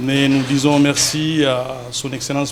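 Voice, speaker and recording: Noticeable background noise sits behind this recording. A man speaks at a very slow pace in a fairly high voice. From DR Congo. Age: 40s. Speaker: entrepreneur. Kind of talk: TV interview.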